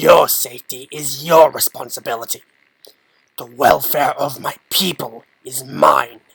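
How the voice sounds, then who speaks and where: A man's put-on character voice, growling and fairly high-pitched, at a fairly slow pace with big swings in loudness. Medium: read story. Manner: commanding, menacing.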